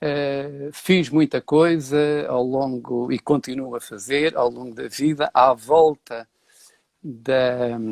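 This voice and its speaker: Intonation here is fairly even. The sound is dry and close, with no echo. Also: man. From Portugal, Beira (Castelo Branco). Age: 60s. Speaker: set designer and architecture professor. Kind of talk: interview. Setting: live stream. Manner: hesitant, many filler sounds.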